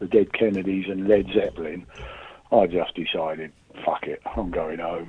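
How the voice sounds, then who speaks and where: Using ordinary pitch variation, a man with an English accent speaks at a fairly slow pace. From England. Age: 50s. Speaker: military member calling in. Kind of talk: voicemail message. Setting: phone call.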